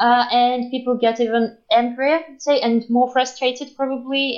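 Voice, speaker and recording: A woman with a Belarusian accent and a high-pitched voice. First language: Russian or Belarusian. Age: 20s. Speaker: interviewee from Belarus. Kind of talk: casual interview. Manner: halting, many fillers.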